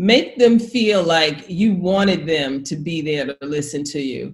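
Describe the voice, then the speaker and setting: Lively intonation marks this woman's fairly low, somewhat breathy voice. She speaks with an American accent over a quiet background. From New York. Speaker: public speaking coach. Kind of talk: instructional casual chat. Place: home room. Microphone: webcam.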